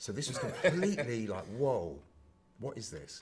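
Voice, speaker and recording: A man in a London accent, somewhat breathy, at a moderate pace. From Brixton, London. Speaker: HIV and queer activist. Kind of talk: podcast interview answer.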